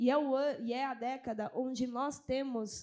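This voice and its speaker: The speech is fairly slow, with fairly even intonation. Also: woman. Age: 30s. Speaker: culture official. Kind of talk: panel discussion.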